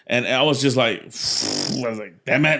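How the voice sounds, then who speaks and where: A man speaks in a Mexican accent with an animated tone. The recording is very clean, with a silent background. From Mexico. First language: Spanish. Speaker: stand-up comedian. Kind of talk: interview answer. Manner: casual, animated.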